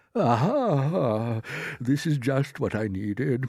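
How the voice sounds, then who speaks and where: Putting on a character voice, a man speaks very slowly at a medium pitch with lively intonation. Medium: read story. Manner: courteous, measured.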